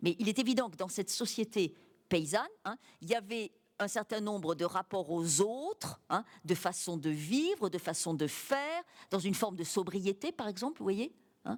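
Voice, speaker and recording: A woman with an ordinary speaking voice, medium pitch, lively intonation, and a moderate pace. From France, Cantal (rural Auvergne). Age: 60s. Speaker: writer and teacher. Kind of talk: public interview. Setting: university library with audience.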